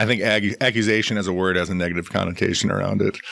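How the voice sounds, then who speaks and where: A man speaks at a very deep, low pitch with fairly even intonation. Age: 40s. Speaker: cancer survivor. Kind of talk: casual chat. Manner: halting.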